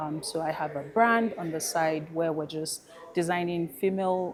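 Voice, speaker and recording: A woman speaks with a Nigerian accent in a fairly low pitch. Her pace is moderate, her pitch variation ordinary, and background noise is noticeable. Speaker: fintech professional and fashion brand founder. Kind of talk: panel discussion.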